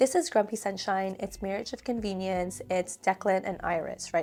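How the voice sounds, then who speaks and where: A soft-spoken woman at a medium pitch with ordinary variation and a moderate pace, on a very clean recording with a silent background. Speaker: book reviewer. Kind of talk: casual talk to camera.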